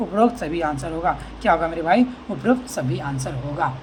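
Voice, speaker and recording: Doing a put-on character voice, a woman sounds hoarse, with a fairly low pitch and very wide pitch swings at a moderate pace over light background noise. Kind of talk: teaching, exam-style answer explanation.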